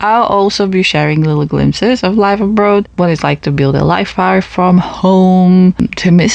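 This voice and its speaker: Noticeable background noise sits behind the recording. A woman speaks over it at a moderate pace. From Poland. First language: Polish. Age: 20s. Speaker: podcast host. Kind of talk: personal monologue podcast. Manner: casual, conversational.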